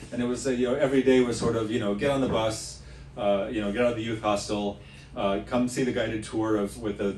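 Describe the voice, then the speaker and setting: Amid audible room echo, a man talks fairly quickly at a medium pitch. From United States, Latvian-American family. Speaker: tour leader, former teacher. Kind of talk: casual self-introduction talk. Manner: halting, many fillers.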